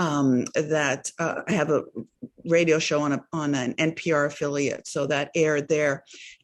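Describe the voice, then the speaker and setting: A woman's very deep, low voice, flat and monotone, at a moderate pace. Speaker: radio DJ and meditation instructor. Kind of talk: self-introduction in group discussion. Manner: loud.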